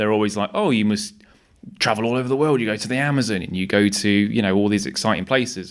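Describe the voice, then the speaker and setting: In an East Midlands accent, the speaker rushes along at a very fast pace with ordinary pitch variation, captured in a very clean recording with a silent background. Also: man. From Nottingham, England. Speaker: wildlife cameraman. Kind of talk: casual chat.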